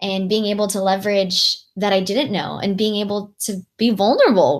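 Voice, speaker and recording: In a Californian accent, a woman talks at a medium pitch with a somewhat breathy voice. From Southern California (Long Beach, LA). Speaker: nonprofit founder. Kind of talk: interview podcast. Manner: animated.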